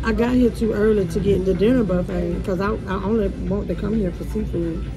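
This woman keeps a moderate pace while clear music plays in the background. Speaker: food vlogger. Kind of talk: casual mukbang vlog chat. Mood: relaxed, chatty. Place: cafe. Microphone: phone near.

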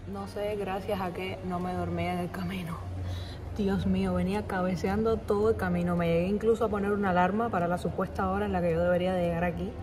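A woman speaks fairly quickly, and noticeable background noise sits behind her. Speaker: travel vlogger. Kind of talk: casual vlog. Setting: at home, then bus stop outdoors.

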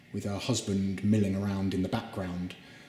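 A man speaks in a fairly low pitch. Audible room echo is present. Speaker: presenter. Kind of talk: guided tour commentary. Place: hall. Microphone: phone near.

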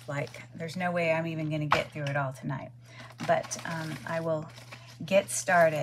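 Loud background noise surrounds a woman speaking at a moderate pace. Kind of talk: casual haul vlog chat.

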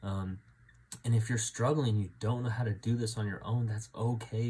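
With an American accent, a man speaks at a fairly low pitch in a dark, mellow, somewhat breathy tone with monotone, flat intonation. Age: 20s. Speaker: church men's group leader; faith vlogger. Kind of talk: personal testimony. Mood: earnest, reflective. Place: home room. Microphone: phone near.

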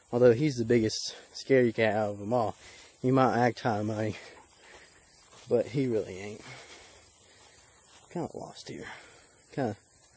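In a dry sound with no echo, a man speaks with fairly even intonation and long, frequent pauses. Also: moderate pace. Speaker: vlogger. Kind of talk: casual vlog chat. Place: open country. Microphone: phone near.

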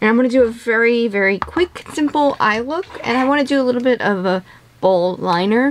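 Noticeable background noise accompanies a woman talking with lively intonation. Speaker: beauty vlogger. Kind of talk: casual chat. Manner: slightly slurred from retainers; hesitant, many fillers.

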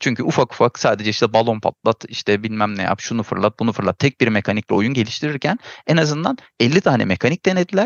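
With lively intonation and a medium pitch, this man rattles along very quickly. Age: 40s. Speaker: game designer and producer. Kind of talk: casual chat.

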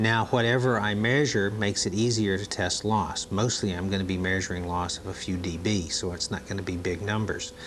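A man with a fairly low pitch and fairly even intonation, speaking at a fairly quick pace with hardly any pauses over light background noise. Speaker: training video narrator. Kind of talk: instructional demonstration narration, vintage training film. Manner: calm, measured, formal explaining; clear step-by-step, didactic pacing.

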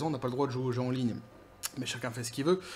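There is light background noise. Over it, a man talks. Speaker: gaming commentary youtuber. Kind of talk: solo commentary video. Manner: hesitant with many fillers. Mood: sarcastic, casual. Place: home room.

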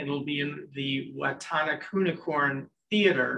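Light background noise sits behind a man with a fairly high voice. His pitch varies in an ordinary way. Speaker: university president. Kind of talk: campus update address with Q&A. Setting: stage with audience, streamed on Zoom. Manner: loud. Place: meeting room. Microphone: podium.

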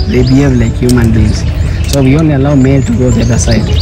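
The speech moves at a very fast pace with ordinary pitch variation. Clear music plays in the background. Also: man. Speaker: sanctuary guide. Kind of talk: guided tour explanation. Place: open country. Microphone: phone near.

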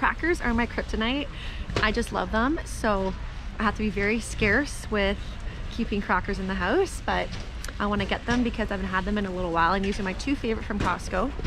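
A woman at a fairly quick pace, with noticeable background noise. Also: dry sound with no echo. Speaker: nutrition vlogger. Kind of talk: casual vlog chat. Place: shop. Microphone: phone near.

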